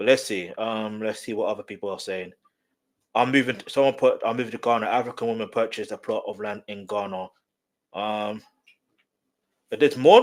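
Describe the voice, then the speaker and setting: A man with a British accent speaks at a fairly quick pace, his loudness swinging widely. He leaves long, frequent pauses. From England, UK-born of Nigerian heritage. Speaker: YouTube reaction commentator. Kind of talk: casual reaction commentary. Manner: casual, conversational, repetitive fillers.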